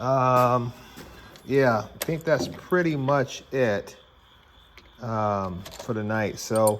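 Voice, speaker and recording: A man speaks with ordinary pitch variation and long, frequent pauses over noticeable background noise. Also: medium pitch for a man. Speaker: tool reviewer and car restorer. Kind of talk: casual vlog narration. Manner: casual, filler-heavy.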